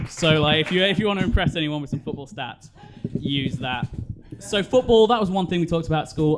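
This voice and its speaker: Noticeable background noise runs under this man's voice. He talks at a very fast pace with lively intonation. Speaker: stand-up comedian. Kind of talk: stand-up. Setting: stage with audience.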